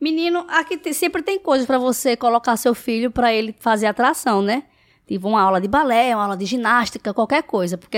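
In a normal speaking voice, a woman talks at a fairly quick pace with lively intonation, recorded very cleanly against a silent background with a dry, close sound and no echo. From Brazil, Recife. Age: 20s. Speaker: house cleaner and social media influencer. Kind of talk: casual interview.

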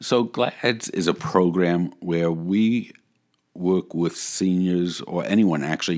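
A man's very deep, low voice at a fairly slow pace, with ordinary pitch variation, on a very clean recording with a silent background. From Brooklyn, New York, then San Francisco Bay Area. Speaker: nonprofit executive director. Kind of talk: casual interview. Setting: studio.

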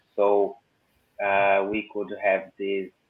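A man with a Portuguese accent at a very slow pace. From Brazil. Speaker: engineer. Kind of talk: casual chat.

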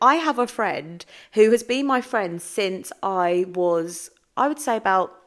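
A woman's animated tone with very wide pitch swings. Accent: English. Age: 30s. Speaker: podcast host, mindset coach. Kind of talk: solo podcast monologue.

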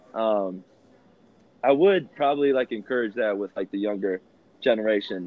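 Speaking at a moderate pace in a Midwestern American accent, a man with a fairly low pitch and ordinary pitch variation leaves long, frequent pauses. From Rockford, Illinois, US Midwest. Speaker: podcast guest. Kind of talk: testimony. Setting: phone call. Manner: animated.

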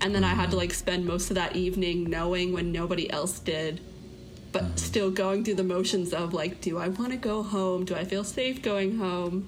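With an American accent, a woman speaks at a moderate pace and medium pitch, her intonation fairly even and her loudness very even. Audible room echo and noticeable background noise come through. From Florida. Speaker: student. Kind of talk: interview.

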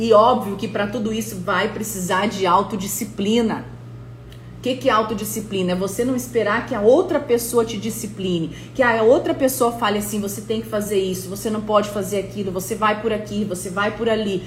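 A woman's animated, medium-pitched voice at a fairly quick pace, with ordinary pitch variation, audible room echo and noticeable background noise. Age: 30s. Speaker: motivational coach. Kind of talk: live-stream motivational talk. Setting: live stream.

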